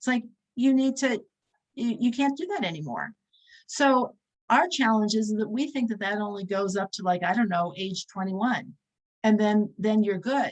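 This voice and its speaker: At a moderate pace, the speaker talks in a somewhat breathy voice. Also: woman, fairly high pitch for a woman, ordinary pitch variation. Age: 60s. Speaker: religious teacher. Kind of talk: lecture.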